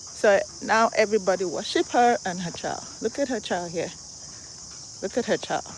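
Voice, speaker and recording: With a Nigerian accent and an animated tone, a woman speaks at a fairly high pitch and a moderate pace, with ordinary pitch variation and long, frequent pauses. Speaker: vlogger. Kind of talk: live stream walking vlog. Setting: outdoors.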